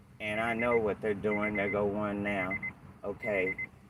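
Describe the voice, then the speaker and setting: A fairly low-pitched male voice with an American accent over noticeable background noise. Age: 60s. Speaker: channel owner, retiree. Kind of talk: heated argument with police officer. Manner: animated.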